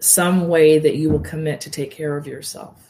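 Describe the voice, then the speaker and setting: In a calm tone, a woman with a very deep, low pitch and a dark, mellow tone speaks at a moderate pace with monotone, flat intonation. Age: 50s. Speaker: yoga nidra and meditation teacher. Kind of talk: casual interview.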